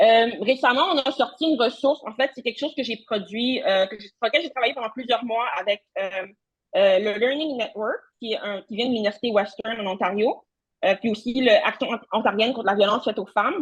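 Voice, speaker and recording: Her pitch is fairly high, with ordinary variation, and her pace fairly quick. The woman's loudness swings widely. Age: young. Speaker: social work researcher. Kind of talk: conference talk. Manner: fast.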